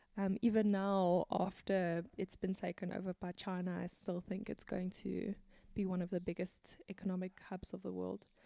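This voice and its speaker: The voice has a South African accent and a dark, mellow tone, delivered in a monotone, flat intonation. The pace is moderate, the sound dry and close with no echo. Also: woman, medium pitch for a woman. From South Africa (Afrikaans-speaking, Kempton Park), then Hong Kong from age 9 to 19. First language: Afrikaans. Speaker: biokineticist and businesswoman. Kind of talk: casual interview.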